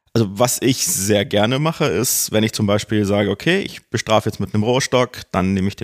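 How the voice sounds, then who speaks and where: This man talks fairly quickly at a medium pitch with ordinary pitch variation in a plain, everyday voice. The sound is dry and close, with no echo. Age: 40s. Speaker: BDSM practitioner, rope rigger. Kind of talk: casual interview.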